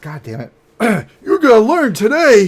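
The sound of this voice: Putting on a hoarse character voice, a man speaks fairly slowly at a high pitch with very wide pitch swings.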